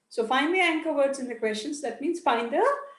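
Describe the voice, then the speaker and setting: A woman speaks with audible room echo. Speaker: IELTS teacher. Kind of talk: online class lecture. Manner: deliberate, careful pronunciation for clarity.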